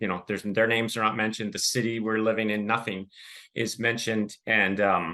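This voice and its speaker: Over a quiet background, a man with a Californian accent speaks at a fairly quick pace, his fairly low voice bright and sharp in tone and his intonation monotone and flat. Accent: General American, Californian. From Southern California, Los Angeles suburb. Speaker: podcast guest, author. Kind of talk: interview testimony.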